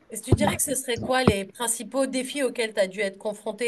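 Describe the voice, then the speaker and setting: Noticeable background noise sits behind a woman speaking at a very fast pace. Her pitch is fairly high. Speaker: radio host. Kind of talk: radio interview questions.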